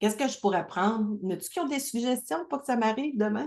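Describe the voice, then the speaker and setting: Doing a put-on character voice, a woman speaks hoarsely at a fairly high pitch and a fairly quick pace over a quiet background. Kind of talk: casual business talk.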